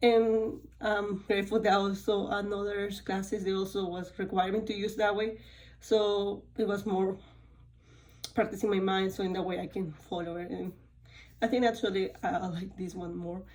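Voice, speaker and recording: In a Spanish accent, the speaker keeps a moderate pace with monotone, flat intonation. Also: woman, medium pitch for a woman. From Spanish-speaking country. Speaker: college student. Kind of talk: course reflection talk. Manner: halting, with many fillers.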